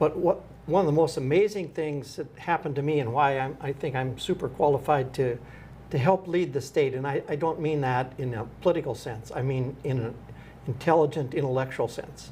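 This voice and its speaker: Pitch varies in an ordinary way through a somewhat breathy voice. The pace is fairly quick. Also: man, fairly high pitch for a man. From North Dakota, Wells County. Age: 70s. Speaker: political candidate. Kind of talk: interview. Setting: studio. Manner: halting.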